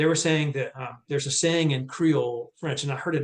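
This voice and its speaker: A man's somewhat breathy voice sits fairly high in pitch. He speaks very fast, with fairly even intonation. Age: 60s. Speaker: former music industry executive, nonprofit mission worker. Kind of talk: casual chat. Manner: halting.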